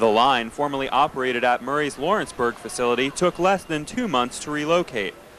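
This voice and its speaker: There is noticeable background noise as a man with a fairly high pitch speaks at a fairly quick pace. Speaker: TV news reporter. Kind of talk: TV news report.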